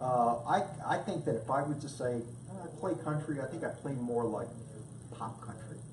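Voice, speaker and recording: Noticeable background noise and audible room echo surround a man with an American accent. His medium-pitched voice varies in an ordinary way at a moderate pace. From New York, Brooklyn. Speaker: musician, guitarist. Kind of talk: casual interview. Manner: hesitant, many fillers and repeats.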